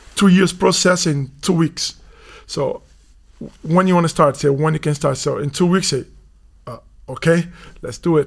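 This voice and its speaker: With a Portuguese accent, a man speaks at a moderate pace and leaves long, frequent pauses. His pitch is high and his intonation fairly even. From Brazil (São Paulo). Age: 30s. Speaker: youth basketball coach. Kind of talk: casual interview.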